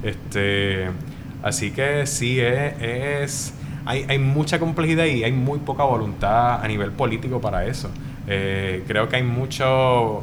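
A man at medium pitch, very slow pace, ordinary pitch variation and very even loudness, with noticeable background noise and audible room echo. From Puerto Rico, Manatí. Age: young. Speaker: community project founder. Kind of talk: panel discussion. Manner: halting, many fillers.

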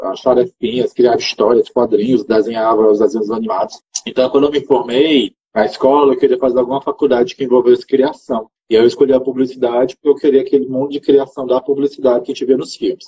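Speaking at a very fast pace, the man has a medium-pitched voice. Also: ordinary pitch variation, hardly any pauses. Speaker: marketing manager and game designer. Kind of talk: interview.

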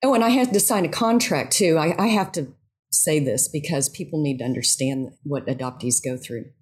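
Woman with a very deep, low, somewhat breathy voice, very wide pitch swings and a fairly quick pace, on a very clean recording with a silent background. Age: 50s. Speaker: yoga instructor and writer. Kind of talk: interview.

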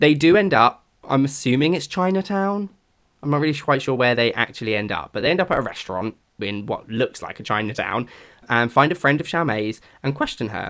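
A man with a British accent talks at a fairly quick pace in a fairly high voice with lively intonation, in a very clean recording with a silent background. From Britain. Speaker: podcast co-host. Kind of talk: casual chat.

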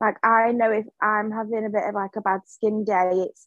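Heard dry and close with no echo, a woman with an English accent speaks at a fairly high pitch with fairly even intonation. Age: 20s. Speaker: small business owner and office worker. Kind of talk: casual interview.

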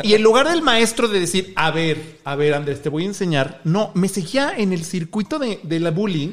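This man's voice sits high, and his intonation is lively. He talks at a moderate pace with hardly any pauses. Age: 30s. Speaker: social media creator and LGBT activist. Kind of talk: casual chat.

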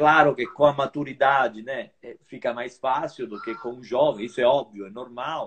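With an unremarkable speaking voice, a man talks at a moderate pace and medium pitch, his loudness swinging widely. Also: ordinary pitch variation. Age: 50s. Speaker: veteran fencer and sports association leader. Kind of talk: interview.

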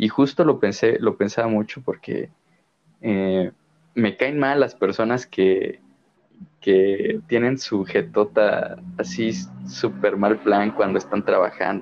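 Over music in the background, a man speaks at a very slow pace. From Mexico. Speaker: podcast co-host, visual artist. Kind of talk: casual chat.

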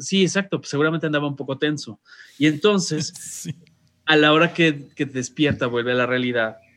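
A man with a Mexican accent speaks at a fairly quick pace, his pitch fairly high and its variation ordinary. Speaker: radio host. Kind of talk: casual chat. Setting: video call.

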